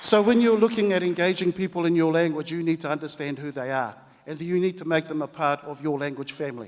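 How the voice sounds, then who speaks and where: A man speaks at a very fast pace with a New Zealand accent. His pitch is fairly high. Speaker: language commission head. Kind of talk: conference speech.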